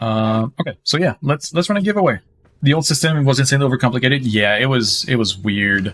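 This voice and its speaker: The speaker talks at a very fast pace with very wide swings in pitch. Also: man, medium pitch for a man. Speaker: gaming live streamer. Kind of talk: live gameplay stream chat. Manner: repetitive stammering restarts.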